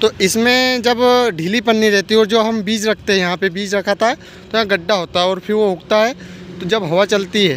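A man speaks in a high voice at a moderate pace, with ordinary pitch variation. The sound is dry with no echo, and light background noise sits underneath. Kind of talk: tutorial. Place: open country. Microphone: phone near.

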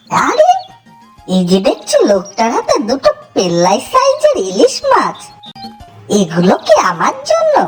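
A cartoonish character voice with a high pitch, with faint music playing in the background. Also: moderate pace. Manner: grumbling, bargaining.

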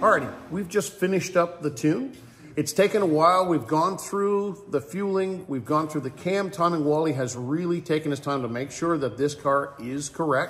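The speech moves at a moderate pace with hardly any pauses, ordinary pitch variation, and light background noise. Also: man. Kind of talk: casual vlog commentary. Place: workshop.

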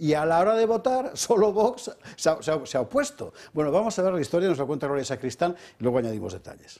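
A dark, mellow tone comes through at a very fast pace with very wide pitch swings over a quiet background. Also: man, high pitch for a man. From Spain. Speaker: TV talk show host. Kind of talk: political talk show debate; talk show commentary and presenting. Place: studio. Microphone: headset.

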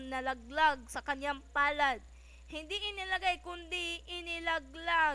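A woman delivers a dramatic tone in a raised, projected voice, high-pitched, bright and sharp, with fairly even intonation at a very slow pace. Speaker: narrator reading a short story aloud. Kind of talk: dramatic narration, reading a Filipino short story aloud. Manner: expressive, dramatic, steady storytelling pace.

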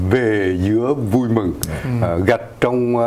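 A man speaks with ordinary pitch variation. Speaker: auxiliary bishop. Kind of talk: interview on community news show. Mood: warm, smiling. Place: studio. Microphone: lapel.

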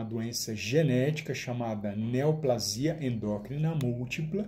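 At a very slow pace and with ordinary pitch variation, the speaker talks in a Brazilian accent over light background noise. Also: man. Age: 40s. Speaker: nutritionist. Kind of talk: testimony. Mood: earnest, hopeful. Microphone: phone near.

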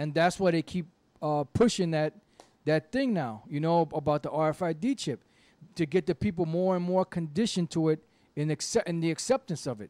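A dark, mellow voice moves at a moderate pace with lively intonation, the sound dry with no echo. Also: man, high pitch for a man. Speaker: religious teacher. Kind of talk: reading aloud and commentary. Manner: halting, repetitive. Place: studio. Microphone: handheld.

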